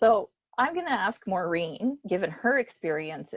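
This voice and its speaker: A woman speaks with a Canadian accent at a moderate pace, her intonation lively. She has an unremarkable speaking voice. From Canada, Alberta (Spruce Grove). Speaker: business support organization executive. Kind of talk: panel discussion moderation.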